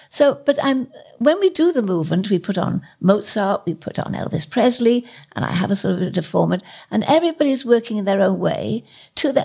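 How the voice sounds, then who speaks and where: Vocal fry marks this woman's voice as she talks at a fairly quick pace with very wide pitch swings. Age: 80s+. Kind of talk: interview.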